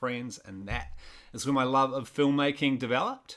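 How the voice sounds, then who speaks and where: A man with a New Zealand accent, a bright, sharp tone, medium pitch, fairly even intonation, and a moderate pace. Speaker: filmmaker and content creator. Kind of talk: podcast interview. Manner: casual.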